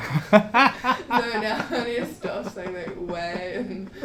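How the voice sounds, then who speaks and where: A woman with a strong New Zealand accent, over noticeable background noise. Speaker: traveler. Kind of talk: casual chat. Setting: podcast interview.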